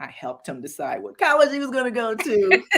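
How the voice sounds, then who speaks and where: A woman speaks with vocal fry and very wide pitch swings. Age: 70s. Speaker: author. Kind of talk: casual interview.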